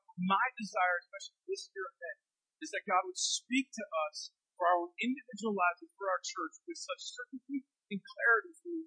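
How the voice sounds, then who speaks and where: A man's high-pitched, bright, sharp voice is raised and projected, swinging very widely in pitch at a moderate pace, with a dry, close sound and no echo. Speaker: pastor. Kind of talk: sermon. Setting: church.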